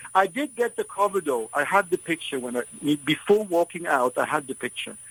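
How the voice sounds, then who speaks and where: A man with a non-native accent talks at a fairly quick pace in a high pitch, his pitch swinging very widely, in a dry, close recording with no echo. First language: not English. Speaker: photographer. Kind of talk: radio interview. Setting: radio studio.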